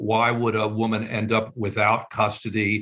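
A man speaking at a fairly low pitch. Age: 70s. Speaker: professor. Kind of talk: interview.

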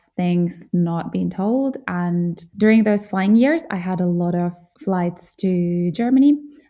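At a fairly slow pace, the speech comes in a dark, mellow tone. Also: woman. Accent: Finnish. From central Finland (Jyväskylä). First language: Finnish. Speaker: podcast host, beauty awards founder. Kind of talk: solo podcast monologue.

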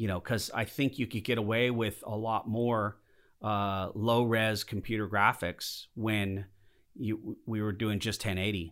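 A man with an American accent speaks in a plain, everyday voice at a moderate pace and a fairly low pitch, recorded very cleanly against a silent background. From Southern California (Lancaster). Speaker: model maker and visual effects artist. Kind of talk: casual interview. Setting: conference room.

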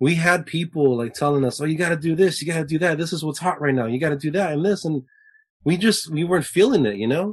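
Ordinary pitch variation marks this very fast speech in an American accent. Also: man, fairly high pitch for a man. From Southern California, Lakewood. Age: 20s. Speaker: musician in a band. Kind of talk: casual interview chat.

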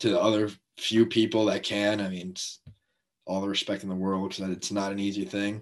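A man with an American accent, fairly low pitch, monotone, flat intonation and a fairly quick pace against a quiet background. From North Jersey, US. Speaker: college baseball pitcher. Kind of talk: casual interview.

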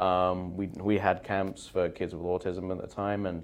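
Very deep, low pitch from a man with a southern English accent, fairly slow and monotone, flat in intonation. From southeast England, near London. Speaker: physical therapy assistant. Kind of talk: casual interview.

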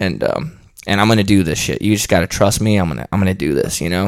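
Speaking with an American accent, a man uses a fairly low pitch, vocal fry and ordinary pitch variation. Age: 30s. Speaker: heavy metal musician and combat sports coach. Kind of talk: casual interview chat.

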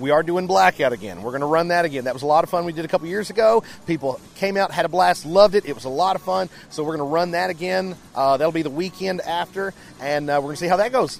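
A high-pitched man speaking at a very fast pace with ordinary pitch variation amid noticeable background noise. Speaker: haunted attraction manager. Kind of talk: interview.

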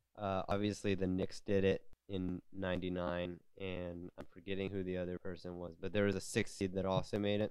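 A man's normal speaking voice, fairly low in pitch, at a moderate pace. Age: 20s. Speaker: sports podcast host. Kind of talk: solo podcast commentary.

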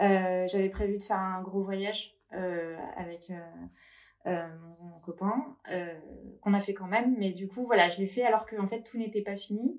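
The intonation stays fairly even at a fairly slow pace, broken by long, frequent pauses. Loudness swings widely. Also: woman, medium pitch for a woman. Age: 30s. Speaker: breast cancer survivor and shop owner. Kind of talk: interview testimony.

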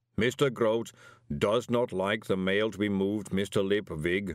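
A man's put-on, rumbling character voice, fairly low in pitch and fairly slow in pace. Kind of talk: stiff, formal.

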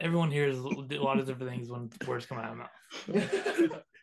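Using a put-on character voice at medium pitch, a man mumbles at a moderate pace. His loudness swings widely. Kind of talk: casual. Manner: mumbling.

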